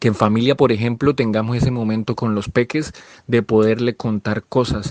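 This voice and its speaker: A man talks at a moderate pace in an ordinary speaking voice of medium pitch, with fairly even intonation. The sound is dry and close, with no echo. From Colombia. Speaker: storyteller. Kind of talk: interview answer about storytelling.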